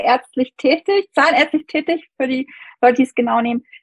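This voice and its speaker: A woman speaks in a high pitch with ordinary pitch variation. The sound is dry and close, with no echo. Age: 30s. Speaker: dentist and medical student. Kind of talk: casual interview.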